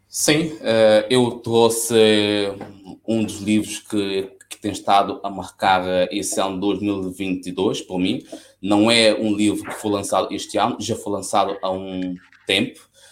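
Delivery is very slow. The intonation remains fairly even throughout. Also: man, fairly low pitch for a man. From São Tomé and Príncipe. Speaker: chef. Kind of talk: interview.

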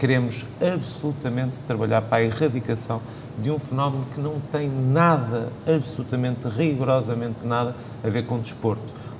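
Medium pitch from a man with fairly even intonation at a moderate pace, with noticeable background noise and audible room echo. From Portugal, Viseu (interior). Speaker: secretary of state for youth and sport. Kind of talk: panel discussion.

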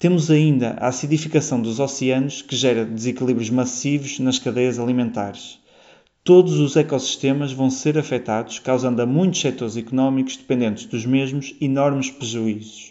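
A man's normal speaking voice at a medium pitch and moderate pace, with fairly even intonation. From Portugal, Porto. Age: 20s. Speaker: PhD student. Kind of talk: prepared statement.

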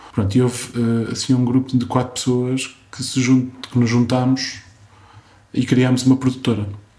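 A man's medium-pitched voice, dark and mellow in tone, with monotone, flat intonation and long, frequent pauses. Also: moderate pace. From Portugal, Coimbra. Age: 40s. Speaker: film director and architect. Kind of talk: interview. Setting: at home in a Lisbon flat. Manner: halting, with repetitions.

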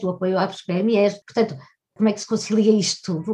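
The woman's voice is somewhat breathy, with medium pitch and a moderate pace. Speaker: journalist interviewer. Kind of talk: interview.

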